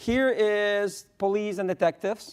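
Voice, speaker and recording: A man with a Spanish accent speaks with ordinary pitch variation. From Spain. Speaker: economics professor. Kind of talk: conference panel talk.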